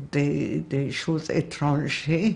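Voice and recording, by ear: Speaking slowly with a Hungarian accent, a woman uses a low pitch, a slightly mellow tone and fairly even intonation.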